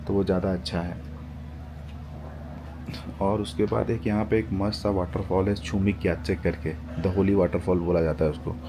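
Fairly even intonation at a fairly slow pace, with noticeable background noise. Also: man. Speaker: travel vlogger. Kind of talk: casual vlog chat. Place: street. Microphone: phone near.

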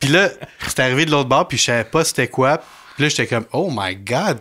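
A bright, sharp tone in a Quebec accent at a fairly quick pace. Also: man. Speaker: podcast host. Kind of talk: casual chat.

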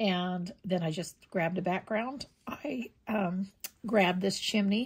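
Pitch variation here is ordinary. The voice carries a somewhat breathy quality. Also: woman. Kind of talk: tutorial. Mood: cheerful, relaxed. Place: home room.

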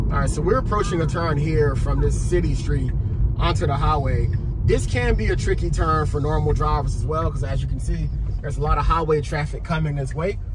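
A man talks at a fairly quick pace. Loud background noise surrounds him. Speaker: car vlogger. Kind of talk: commentary. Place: car. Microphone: camera far.

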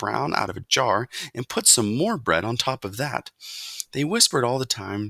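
The clip has a natural reading voice. Pitch variation is ordinary.

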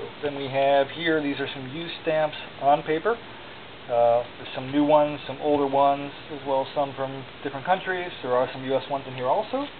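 Over noticeable background noise, the speech runs at a fairly quick pace. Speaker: auction seller. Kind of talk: auction pitch showing items one by one. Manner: casual, conversational; rambling, with filler words and self-corrections. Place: home room. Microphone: phone near.

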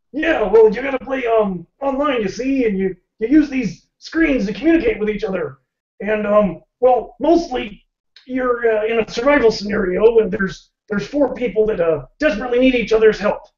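The speaker uses a cartoonish character voice at a fairly high pitch. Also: moderate pace. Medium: puppet show. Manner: chatty, punning; folksy, easygoing, drawling.

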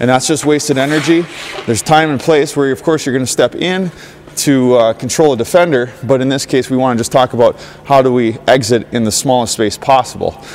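A man at a fairly quick pace, ordinary pitch variation, light background noise. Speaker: hockey skating coach. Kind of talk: tutorial. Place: stadium.

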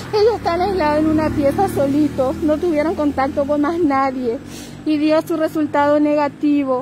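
Delivered at a moderate pace with very even loudness and fairly even intonation, the voice sounds dry with no echo, though noticeable background noise runs underneath. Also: woman, high pitch for a woman. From Formosa, Argentina. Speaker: grieving relative making a public appeal. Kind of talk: live-stream appeal. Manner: urgent, pleading. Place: street. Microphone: phone near.

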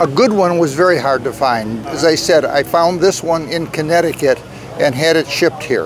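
Music plays behind a man whose loudness stays very even, the sound dry with no echo. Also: ordinary pitch variation, moderate pace. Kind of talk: interview answer. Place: street.

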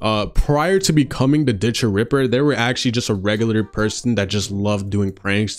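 At a fairly quick pace, a man is speaking. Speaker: video game commentator. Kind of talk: commentary. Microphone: handheld.

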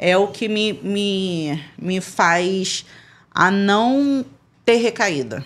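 A woman's very slow speech with lively intonation. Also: medium pitch for a woman, very clean recording, silent background. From Brazil. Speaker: former funk dancer. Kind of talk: casual chat.

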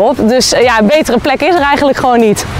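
A woman talks fairly quickly with ordinary pitch variation while noticeable background noise fills the clip. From Zeeland, Netherlands. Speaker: professional kitesurfer. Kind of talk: presenting to camera.

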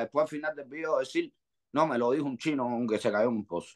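Against a quiet background, a man with a fairly high pitch and ordinary pitch variation talks in an animated tone at a fairly quick pace. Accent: Cuban. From Cuba. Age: 40s. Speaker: rapper; guest. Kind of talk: interview. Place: home room. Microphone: video call.

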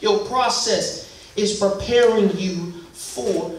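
Speech comes at a very slow pace with ordinary pitch variation, over noticeable background noise and audible room echo. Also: man. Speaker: minister. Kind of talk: sermon. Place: church. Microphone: podium.

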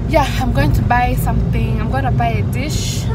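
A woman speaks at a moderate pace in a dry sound with no echo, with music in the background. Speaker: vlogger. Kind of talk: casual vlog chat. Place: car. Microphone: phone near.

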